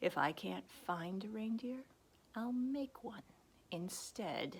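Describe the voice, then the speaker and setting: In a put-on character voice, the speaker growls at a very slow pace with lively intonation. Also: woman, fairly high pitch for a woman. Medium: read story. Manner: snarling, sneering.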